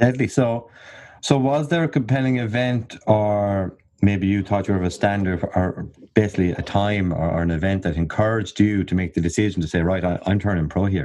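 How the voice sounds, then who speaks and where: Over a quiet background, the voice moves at a fairly quick pace with a dark, mellow tone and ordinary pitch variation. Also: man, fairly low pitch for a man. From Ireland. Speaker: podcast host. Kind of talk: casual interview chat. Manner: jokey, chatty.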